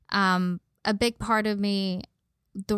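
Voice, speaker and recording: A woman with an American accent speaks at a very slow pace and a medium pitch, in a monotone, flat intonation. The recording is very clean, with a silent background. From Los Angeles (San Fernando Valley). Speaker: model and personal trainer. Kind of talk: casual chat.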